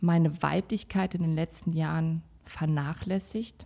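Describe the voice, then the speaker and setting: In a very clean recording with a silent background, a woman speaks at a fairly slow pace. Her tone is dark and mellow, her intonation monotone and flat. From Kazakhstan, raised in Sauerland, Germany. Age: 30s. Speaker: salon owner, mother. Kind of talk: casual chat.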